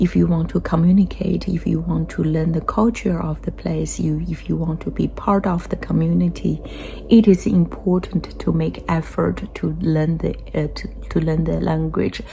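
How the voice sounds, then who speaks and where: A woman speaks at a fairly slow pace with a strong Chinese accent. Noticeable background noise runs under her voice. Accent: heavy Chinese accent in English. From China. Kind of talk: casual talk to camera. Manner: hesitant, many fillers.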